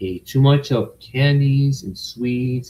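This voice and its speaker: A man talks with an American accent. His voice has a dark, mellow tone and is somewhat breathy. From United States. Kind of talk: casual livestream talk to camera.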